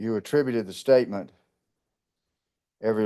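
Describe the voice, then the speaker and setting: A man with a dark, mellow tone speaks with fairly even intonation against a quiet background. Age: 70s. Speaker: lawyer representing himself at trial. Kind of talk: courtroom cross-examination. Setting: courtroom.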